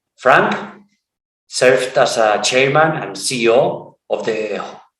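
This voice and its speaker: A man with a non-native accent speaks at medium pitch with lively intonation. Audible room echo colors the recording. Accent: rusty English, non-native. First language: Spanish. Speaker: podcast host. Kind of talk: interview. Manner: halting.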